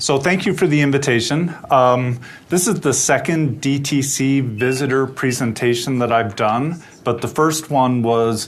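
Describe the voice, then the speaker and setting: The speech moves at a fairly slow pace with ordinary pitch variation. Audible room echo surrounds it. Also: man. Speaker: atmospheric science researcher. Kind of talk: lecture. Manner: loud.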